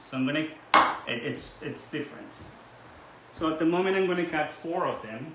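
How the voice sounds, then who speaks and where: Over noticeable background noise and audible room echo, a man speaks at a fairly high pitch and moderate pace, with ordinary pitch variation and long, frequent pauses. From Ecuador, Guayaquil. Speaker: cooking channel host. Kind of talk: cooking tutorial. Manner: casual, with some hesitations.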